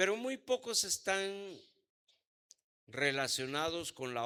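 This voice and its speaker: Very slowly, a man speaks in a bright, sharp tone with very wide pitch swings. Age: 70s. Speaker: apostle and pastor. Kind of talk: sermon.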